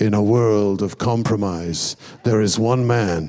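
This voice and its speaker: A put-on character voice at a fairly slow pace. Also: man, fairly low pitch for a man. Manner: dramatic.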